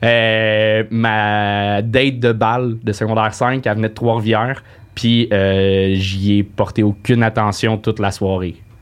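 In a flat, monotone delivery, a man speaks very slowly at a fairly low pitch. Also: quiet background. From Quebec, Saint-Eustache. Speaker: comedian. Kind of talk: casual chat.

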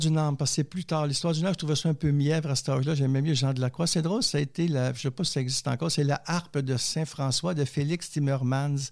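A man with a Quebec accent and fairly high pitch talks at a very fast pace with hardly any pauses. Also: very even loudness. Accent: Québécois. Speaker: theologian and poet. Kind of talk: interview testimony.

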